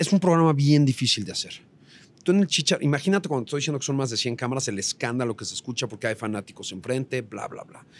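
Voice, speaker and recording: A man at medium pitch speaks at a very fast pace, his intonation lively and his loudness swinging widely. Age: 40s. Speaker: entertainment TV reporter. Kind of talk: casual chat.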